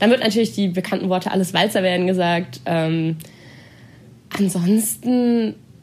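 A woman speaks at a moderate pace with a medium pitch and ordinary pitch variation. Her speech has long, frequent pauses. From Baden-Württemberg, near Stuttgart. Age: 20s. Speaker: student and dancer. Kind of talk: casual interview.

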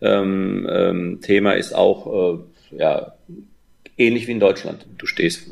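A man speaking at a very slow pace, with long, frequent pauses and big swings in loudness. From Germany, Rhine-Main area. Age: 50s. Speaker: football coach. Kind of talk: interview. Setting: remote call.

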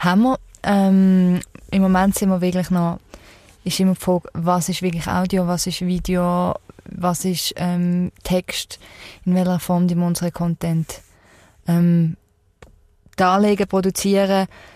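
A woman at medium pitch talks in a monotone, flat intonation with long, frequent pauses, the sound dry and close with no echo. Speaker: podcast host. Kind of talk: interview. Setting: mobile podcast studio vehicle.

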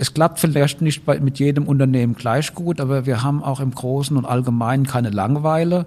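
A man with a dark, mellow tone speaks fairly quickly, with hardly any pauses. His pitch sits fairly high and his intonation stays fairly even. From Rhineland-Palatinate, Germany. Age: 50s. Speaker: university president, professor. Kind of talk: interview.

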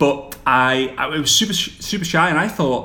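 With a bright, sharp tone and fairly high pitch, a man speaks amid audible room echo. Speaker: social media coach for network marketers. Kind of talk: casual interview. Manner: fast.

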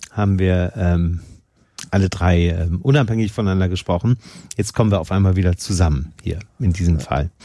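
This man's very deep, low voice has a dark, mellow tone, ordinary pitch variation and a moderate pace. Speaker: podcast host. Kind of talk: casual interview. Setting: studio.

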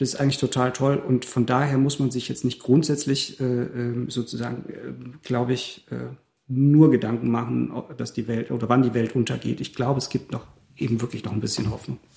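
A somewhat breathy man with a dark, mellow tone at medium pitch, in a monotone, flat intonation at a moderate pace. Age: 40s. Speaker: theatre musician and cabaret artist. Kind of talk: casual chat.

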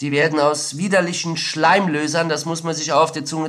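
This man speaks at a fairly high pitch with a monotone, flat intonation. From Saarland, Germany. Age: 30s. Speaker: former drug producer and ex-prisoner. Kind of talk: interview testimony. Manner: frequent hesitations.

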